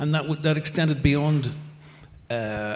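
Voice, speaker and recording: A man speaks at a moderate pace with a Northern Irish accent. His voice is somewhat breathy, with ordinary pitch variation. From Northern Ireland. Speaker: ambassador. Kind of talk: panel discussion. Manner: halting.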